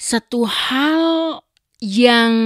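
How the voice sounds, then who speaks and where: Her delivery is animated, with lively intonation, and the woman is recorded dry and close with no echo against a silent background in a very clean recording. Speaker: vlogger. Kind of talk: casual chat. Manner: code-switching Indonesian and English.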